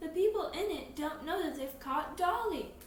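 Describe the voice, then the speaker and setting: The speaker puts on a character voice at a moderate pace, with light background noise and a slight echo. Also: woman, extremely high pitch for a woman. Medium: read story.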